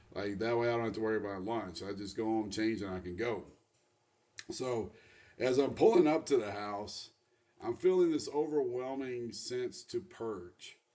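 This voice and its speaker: Lively intonation colors an unremarkable speaking voice moving at a moderate pace. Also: man, medium pitch for a man. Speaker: former coach sharing faith testimony. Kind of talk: personal testimony. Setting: self-recorded video. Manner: casual, conversational with many fillers.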